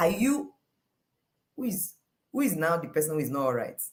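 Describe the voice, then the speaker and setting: A somewhat breathy woman in a Nigerian accent, at a moderate pace. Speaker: life coach. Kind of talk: motivational talk. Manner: animated.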